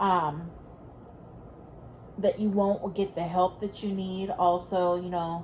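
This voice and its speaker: A woman speaks at a very slow pace, leaving long, frequent pauses. Her intonation is monotone and flat, and her voice is somewhat breathy. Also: medium pitch for a woman. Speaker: tarot reader. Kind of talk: tarot reading, audio only.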